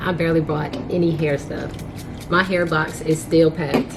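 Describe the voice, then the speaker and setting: Monotone, flat intonation at a fairly slow pace, with audible room echo and noticeable background noise. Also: woman. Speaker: beauty vlogger. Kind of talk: casual vlog narration.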